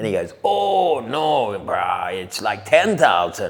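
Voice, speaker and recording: Over noticeable background noise, a man speaks with an Australian accent. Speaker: surf commentator and surf reporter. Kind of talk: podcast interview answer. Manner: upbeat.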